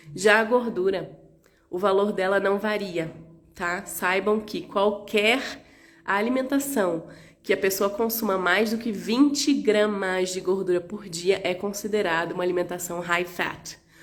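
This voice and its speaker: Music can be heard behind the voice. The pitch varies in an ordinary way at a fairly slow pace. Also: woman, medium pitch for a woman. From Rio de Janeiro, Brazil. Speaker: naturopath. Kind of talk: live stream health talk.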